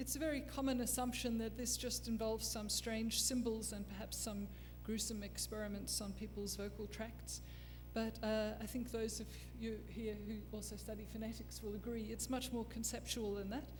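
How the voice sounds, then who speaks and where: A woman in an Australian accent at a moderate pace, with music in the background and audible room echo. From Australia, Canberra. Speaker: forensic phonetics expert. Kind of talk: lecture.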